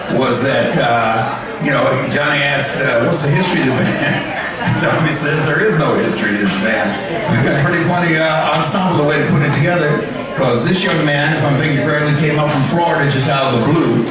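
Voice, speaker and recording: Strong room echo and noticeable background noise accompany speech at a fairly quick pace with ordinary pitch variation. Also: man. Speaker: emcee. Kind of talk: stage introduction. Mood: joking, upbeat. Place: stage.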